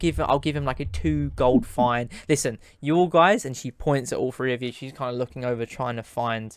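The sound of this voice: The pitch varies in an ordinary way through an unforced reading voice.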